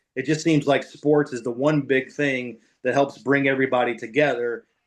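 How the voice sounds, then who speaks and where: Against a quiet background, a man with an unremarkable speaking voice and a fairly high pitch talks at a moderate pace with fairly even intonation. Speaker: NFL radio play-by-play broadcaster. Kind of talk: podcast interview answer. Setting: podcast conversation.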